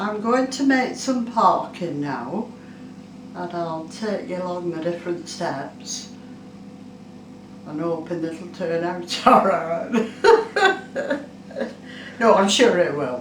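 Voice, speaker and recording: Speaking very slowly at a fairly low pitch, a woman leaves long, frequent pauses and uses lively intonation with big swings in loudness. Noticeable background noise runs underneath. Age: 80s+. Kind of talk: casual cooking demonstration.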